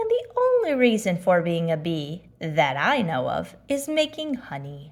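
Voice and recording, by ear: Using a put-on character voice, a woman speaks fairly slowly at a fairly low pitch with very wide pitch swings.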